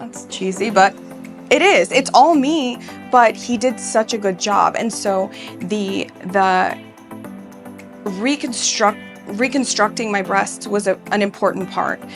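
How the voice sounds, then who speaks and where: A woman's medium-pitched voice at a very slow pace, with ordinary pitch variation and long, frequent pauses over music in the background. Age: 30s. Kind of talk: patient testimonial interview.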